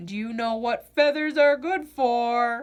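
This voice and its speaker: The speaker uses a put-on character voice at a fairly slow pace, with ordinary pitch variation. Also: woman. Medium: read story.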